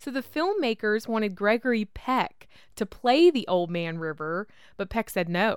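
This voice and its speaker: Fairly high in pitch, a woman speaks at a moderate pace. Her pitch swings very widely. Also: dry, close sound with no echo, very clean recording, silent background. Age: 30s. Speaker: podcast host. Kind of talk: casual chat.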